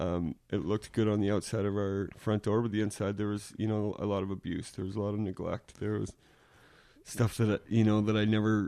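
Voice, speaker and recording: At a fairly quick pace, the voice has a dark, mellow tone and monotone, flat intonation. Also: man, fairly low pitch for a man. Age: 30s. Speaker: podcast guest. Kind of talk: casual chat.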